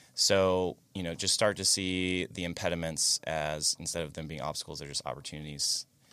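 With an American accent, a man speaks at a fairly quick pace in a very deep, low pitch, recorded very cleanly against a silent background. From Florida, near Daytona. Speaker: college professor. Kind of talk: casual chat.

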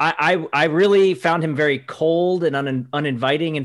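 A man speaks in a normal speaking voice at a fairly high pitch, with ordinary pitch variation. The background is quiet. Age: 40s. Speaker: sports reporter. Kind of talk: casual chat.

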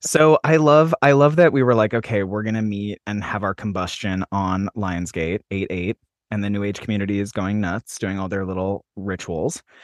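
Against a quiet background, a man talks at a moderate pace with hardly any pauses, using a fairly low pitch and ordinary pitch variation, the sound dry and close with no echo. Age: 30s. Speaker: astrology podcast host. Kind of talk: casual chat; astrology forecast monologue. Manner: animated.

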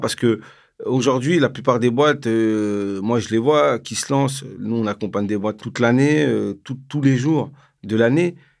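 On a very clean recording with a silent background, a man with an unremarkable speaking voice talks at a fairly slow pace, medium in pitch and with ordinary pitch variation. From Paris suburbs, France (Val-d'Oise). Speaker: founder of a nonprofit for entrepreneurship. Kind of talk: casual interview.

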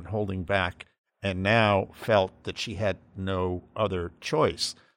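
An unremarkable speaking voice in an American accent with fairly even intonation, on a very clean recording with a silent background. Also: man. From Massachusetts. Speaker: conservative political analyst. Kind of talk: political panel discussion.

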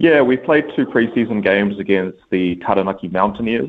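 Speaking at a moderate pace, a man with a fairly low pitch talks in a New Zealand accent. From Auckland, New Zealand. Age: 20s. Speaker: basketball coach. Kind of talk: interview.

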